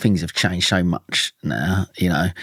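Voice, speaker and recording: A man with an Essex accent speaks at a very deep, low pitch. The sound is dry and close, without echo. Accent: Essex twang. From Essex, England (Dagenham). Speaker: mental health campaigner, podcast guest. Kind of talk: podcast interview. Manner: casual, chatty.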